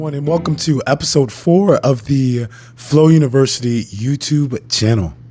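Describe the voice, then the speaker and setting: A man's fairly high voice at a moderate pace, ordinary pitch variation, noticeable background noise. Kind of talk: educational talk. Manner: formal.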